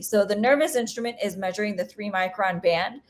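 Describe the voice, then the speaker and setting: A woman talks at a medium pitch with fairly even intonation. She has an ordinary speaking voice. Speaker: planetary scientist. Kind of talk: seminar Q&A. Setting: video call.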